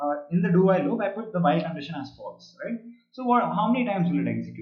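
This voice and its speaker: A man's high voice at a very fast pace, with ordinary pitch variation and audible room echo. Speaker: programming teacher. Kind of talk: online live class. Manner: hesitant, many fillers.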